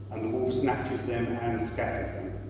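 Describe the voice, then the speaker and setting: The voice moves at a moderate pace through strong room echo and light background noise. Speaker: priest leading the service. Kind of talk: church liturgy and sermon. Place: church. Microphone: camera far.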